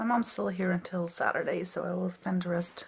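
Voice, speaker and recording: A woman is speaking softly. She keeps a moderate pace. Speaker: PhD student vlogger. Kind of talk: casual vlog. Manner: quiet, soft-spoken. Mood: relaxed, friendly. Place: home room. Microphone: phone near.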